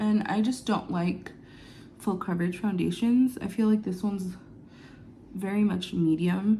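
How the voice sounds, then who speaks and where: A woman with a medium pitch speaks at a fairly slow pace, leaving long, frequent pauses. Her tone is dark and mellow, her voice somewhat breathy, and her intonation fairly even. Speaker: beauty vlogger. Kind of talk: get ready with me vlog. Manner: casual, chatty.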